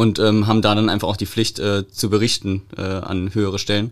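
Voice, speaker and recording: Here is a man with a fairly low pitch and fairly even intonation. He has an ordinary speaking voice. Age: 30s. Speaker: police press officer. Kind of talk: casual chat.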